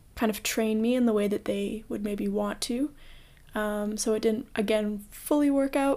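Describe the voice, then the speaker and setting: A woman's plain, everyday voice with a Canadian accent, fairly high in pitch and fairly even in intonation, on a very clean recording with a silent background. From Canada, Toronto. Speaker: podcast host. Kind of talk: solo podcast monologue.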